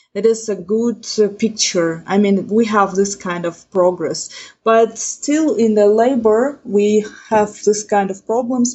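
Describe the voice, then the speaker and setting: Speaking very slowly with a non-native accent, a woman keeps a fairly high pitch and ordinary pitch variation. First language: not English. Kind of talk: podcast interview. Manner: halting.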